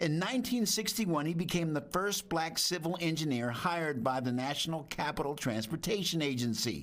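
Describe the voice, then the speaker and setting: This is a plain, everyday voice with lively intonation. It runs at a fairly quick pace with very even loudness and hardly any pauses. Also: man, fairly high pitch for a man. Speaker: TV news reporter. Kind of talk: TV news report narration.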